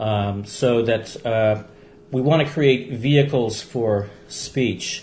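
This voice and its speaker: Somewhat breathy, a man with a medium-pitched voice speaks very slowly with ordinary pitch variation. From Belgium, Polish refugee parents. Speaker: longtime meditation practitioner. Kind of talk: interview. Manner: hesitant, many fillers.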